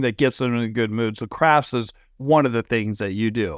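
This man has a normal speaking voice, medium in pitch, with ordinary pitch variation and a fairly quick pace. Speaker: podcast host. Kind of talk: casual interview. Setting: video call. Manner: filler-heavy, rambling.

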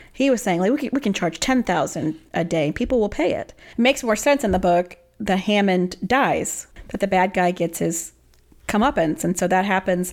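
This woman has a normal speaking voice at medium pitch. She speaks at a moderate pace with lively intonation. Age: 30s. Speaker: podcast co-host. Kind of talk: casual chat.

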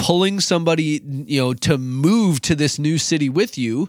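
Speaking at a moderate pace with hardly any pauses and very even loudness, a man with an American accent uses an ordinary speaking voice at a fairly high pitch, in a very clean recording with a silent background. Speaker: youth pastor podcast host. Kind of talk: casual conversational podcast chat.

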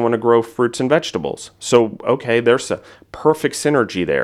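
In a very clean recording with a silent background, a man of medium pitch uses an ordinary speaking voice. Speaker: food entrepreneur and podcaster. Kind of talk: casual interview.

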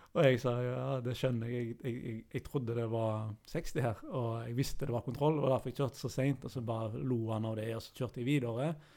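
With a dark, mellow tone and fairly even intonation, a man speaks with hardly any pauses. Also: medium pitch for a man, fairly quick pace. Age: 30s. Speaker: podcast co-host living with anxiety. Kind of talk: casual chat.

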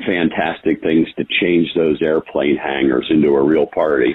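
The man talks at a fairly slow pace. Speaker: motorsports event director. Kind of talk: interview.

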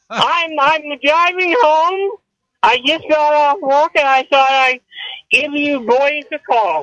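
A man speaks with a raised, projected voice at an extremely high pitch, with ordinary pitch variation and a bright, sharp tone. He goes at a very slow pace, in a dry, close sound with no echo. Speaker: caller. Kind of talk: casual chat. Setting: in a car.

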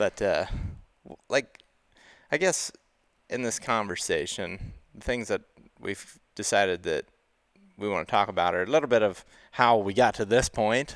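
A man speaks at a moderate pace and medium pitch with ordinary pitch variation, big swings in loudness, and long, frequent pauses. The recording is very clean and dry, close with no echo, over a silent background. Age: 30s. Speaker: hunting podcast host. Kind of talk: casual chat.

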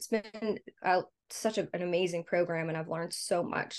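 In an American accent, a woman speaks at a moderate pace in a plain, everyday voice of medium pitch with ordinary pitch variation, against a quiet background. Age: 30s. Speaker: meal delivery business owner. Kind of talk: interview. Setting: video call.

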